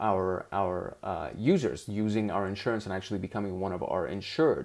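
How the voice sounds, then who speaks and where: A man with a non-native accent, on a very clean recording against a silent background. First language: not English. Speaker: investing show host. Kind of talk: screen-share commentary on stock charts. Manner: casual, with fillers and self-corrections.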